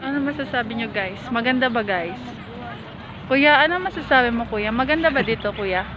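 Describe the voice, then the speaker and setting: A woman's high-pitched voice with lively intonation at a moderate pace, amid audible room echo and crowd noise in the background. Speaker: vlogger. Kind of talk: travel vlog narration. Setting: outdoors, flower garden. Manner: animated. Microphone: voice muffled by face mask, quiet.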